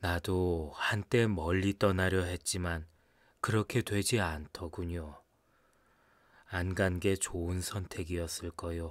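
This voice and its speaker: A man's very deep, low voice, calm in tone, with fairly even intonation and a very slow pace, on a very clean recording with a silent background. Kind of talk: audiobook narration of a short story, read aloud in first person. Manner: calm, measured, wistful storyteller's pace.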